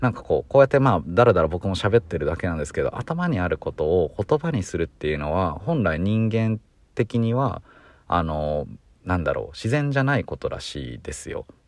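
Over a quiet background, a man with a fairly low pitch speaks at a fairly quick pace with very wide pitch swings. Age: 20s. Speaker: podcast co-host. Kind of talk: solo casual monologue. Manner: rambling, relaxed.

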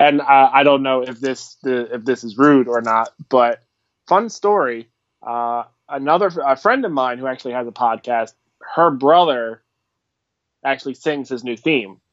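An unremarkable speaking voice with an American accent, ordinary pitch variation and a fairly slow pace. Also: man, medium pitch for a man. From US, Philadelphia. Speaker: wrestling fan and podcast supporter. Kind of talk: casual chat. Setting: Skype call.

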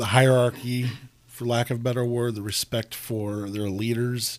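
A man with a plain, everyday voice, medium pitch, fairly even intonation and a moderate pace. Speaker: podcast host. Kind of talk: casual podcast interview. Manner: jokey, warm.

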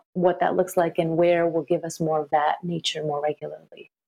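This woman has a Californian accent and a fairly low pitch. She speaks at a moderate pace. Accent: Californian American. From Los Angeles, Saudi Arabian background. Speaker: relationship coach and psychotherapist. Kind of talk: casual interview chat.

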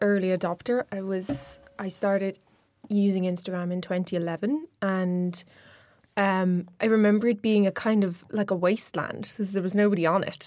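In a very clean recording with a silent background, a woman talks at a moderate pace with fairly even intonation and a medium pitch. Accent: Irish. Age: 30s. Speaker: social media expert. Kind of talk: interview.

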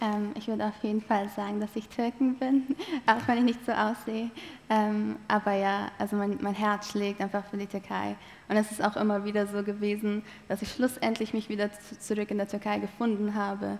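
A woman with a non-native accent speaks at a medium pitch and moderate pace in a flat monotone, with noticeable background noise. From eastern Turkey (Malatya). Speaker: theology student. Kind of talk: interview testimony.

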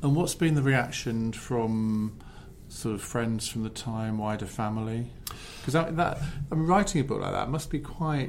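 A man with a southern English accent, medium pitch, lively intonation and a moderate pace, with audible room echo. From Essex, England. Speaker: podcast host. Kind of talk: interview.

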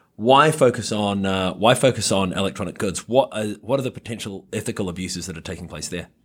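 Speaking at a moderate pace with lively intonation, a man comes through on a very clean recording with a silent background. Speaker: podcast host. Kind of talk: interview. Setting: studio microphone.

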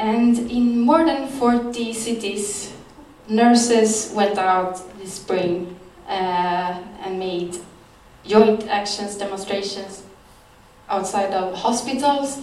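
A woman speaks very slowly in a Swedish accent, her pitch medium with ordinary variation. Her loudness swings widely, and background noise is noticeable. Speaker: journalist. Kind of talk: talk. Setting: stage with audience.

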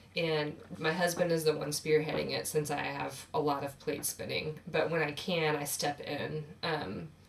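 A woman speaks with low pitch and vocal fry. Her intonation is fairly even. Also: moderate pace.

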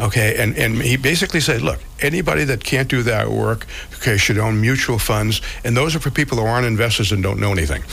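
Against noticeable background noise, a man at medium pitch races along at a very fast pace with lively intonation and very even loudness. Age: 70s. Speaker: financial advisor and radio host. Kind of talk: financial talk radio. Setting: radio studio.

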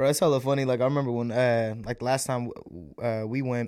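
On a very clean recording with a silent background, a man talks at a moderate pace in a medium pitch. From US, raised in America; born in India. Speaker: podcast co-host. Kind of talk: casual chat. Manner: animated.

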